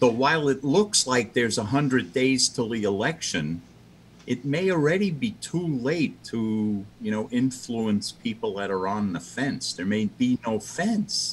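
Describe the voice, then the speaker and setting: Over light background noise, a man's voice moves through very wide pitch swings. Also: medium pitch for a man, fairly slow pace. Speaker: Zoom panel participant. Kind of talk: casual chat. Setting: video call. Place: home room. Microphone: video call.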